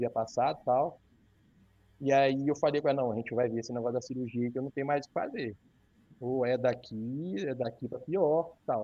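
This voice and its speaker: Intonation stays fairly even as an ordinary speaking voice goes along at a fairly quick pace. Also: man. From northern Rio de Janeiro state, near Minas Gerais border. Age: 30s. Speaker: accountant and fitness social media creator sharing his weight-loss surgery story. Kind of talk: casual interview.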